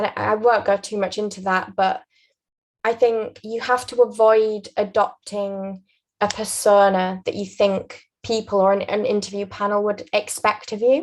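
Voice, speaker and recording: In a Yorkshire accent, a woman speaks at medium pitch and a moderate pace with monotone, flat intonation. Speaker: aspiring barrister sharing interview advice. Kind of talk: interview advice conversation.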